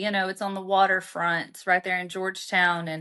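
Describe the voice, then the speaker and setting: A woman with a Southern US accent, medium in pitch, bright and sharp in tone, at a moderate pace over a quiet background. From Arkansas, US South. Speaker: author. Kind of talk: interview storytelling.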